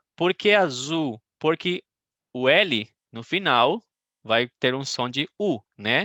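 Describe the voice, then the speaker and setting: Speaking at a very slow pace, a man has a bright, sharp tone. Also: dry, close sound with no echo. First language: Spanish (speaking Portuguese). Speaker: Portuguese teacher. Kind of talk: online language class. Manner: halting, many fillers.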